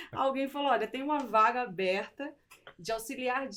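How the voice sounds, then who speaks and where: In a Manaus accent, a woman speaks at a moderate pace with ordinary pitch variation. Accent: Manaus accent, mistaken for Rio. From Brazil, raised in Manaus (born Pernambuco). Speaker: insurance executive, logistics risk specialist. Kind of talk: interview.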